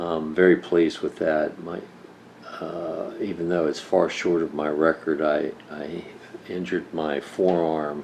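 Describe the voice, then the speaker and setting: A man's very deep, low, monotone voice with flat intonation at a fairly slow pace, over noticeable background noise. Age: 60s. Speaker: senior fitness enthusiast. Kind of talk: casual talk to camera.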